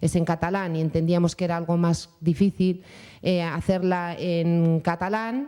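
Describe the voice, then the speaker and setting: Fairly low female voice with a dark, mellow tone, fairly even intonation and a fairly slow pace. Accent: Bilbao. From Spain, Bilbao (Basque Country). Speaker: mother of a deaf child, panelist. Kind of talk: round-table testimony. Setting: conference panel with audience.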